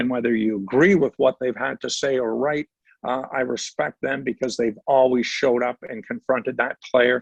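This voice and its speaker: An ordinary speaking voice with a Canadian accent comes through a dry, close sound with no echo, at a moderate pace with fairly even intonation. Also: man, medium pitch for a man. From Ontario, Canada. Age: 60s. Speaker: retired sports broadcaster. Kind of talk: podcast interview. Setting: podcast.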